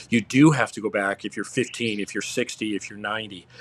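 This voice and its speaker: In an American accent, a man uses an ordinary speaking voice at a fairly low pitch and a moderate pace. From Upstate New York. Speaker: fitness coach. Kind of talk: casual interview.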